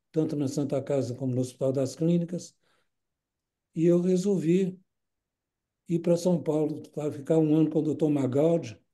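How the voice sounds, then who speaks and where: The voice has a dark, mellow tone and fairly even intonation, moving at a moderate pace with long, frequent pauses. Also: man, fairly high pitch for a man. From Brazil, Minas Gerais (Belo Horizonte). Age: 80s+. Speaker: retired nephrologist. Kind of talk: interview. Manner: halting, repeats words.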